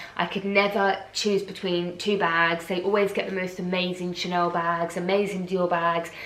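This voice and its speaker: In an English accent, a woman speaks at a moderate pace and medium pitch with monotone, flat intonation, with audible room echo and noticeable background noise. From England. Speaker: fashion vlogger. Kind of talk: unboxing vlog, casual.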